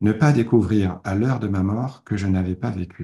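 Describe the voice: A man's voice with a dark, mellow tone and ordinary pitch variation. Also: fairly low pitch for a man, moderate pace.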